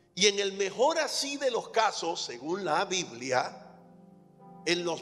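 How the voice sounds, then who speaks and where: A man's high voice at a very slow pace, with very wide pitch swings over background music. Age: 60s. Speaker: pastor. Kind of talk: sermon.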